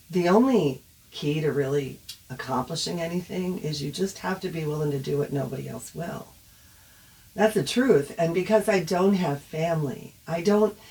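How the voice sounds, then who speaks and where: A woman with a very deep, low pitch speaks at a moderate pace with lively intonation. Long, frequent pauses break it up, and background noise is noticeable. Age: old. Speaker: online advocate on family estrangement. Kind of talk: casual livestream monologue. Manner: animated.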